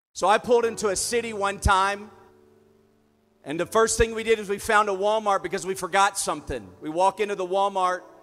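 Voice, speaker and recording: A man's high voice in a Southern US accent, animated in tone and fairly quick in pace. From US South. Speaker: preacher. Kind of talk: sermon. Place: stage. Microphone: handheld.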